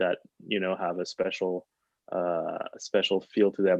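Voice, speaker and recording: A man speaks in a French accent at a moderate pace. His pitch is very deep and low. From France. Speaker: pianist. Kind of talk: casual chat. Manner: halting.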